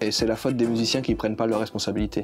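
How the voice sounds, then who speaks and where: A man talks while music plays in the background. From New Caledonia. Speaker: folk musician. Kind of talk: interview answer.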